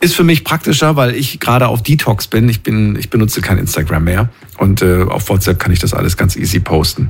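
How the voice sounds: A man speaks at a fairly quick pace with few pauses. His fairly low voice shows vocal fry and ordinary pitch variation.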